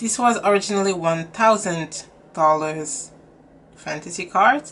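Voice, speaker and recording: At a fairly slow pace, a woman speaks with a strong French accent. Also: ordinary pitch variation. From France. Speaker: beauty youtuber. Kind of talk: casual vlog talk. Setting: home room, windows open. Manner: hesitant with fillers.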